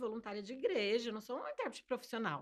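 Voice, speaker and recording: A woman talks at a very fast pace. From Brazil, Fortaleza (early childhood abroad). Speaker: sign language interpreter. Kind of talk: interview.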